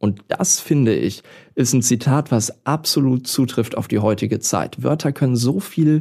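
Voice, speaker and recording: A man's dark, mellow, medium-pitched voice at a moderate pace with ordinary pitch variation, on a very clean recording with a silent background. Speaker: voice-over artist and actor. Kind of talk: casual interview.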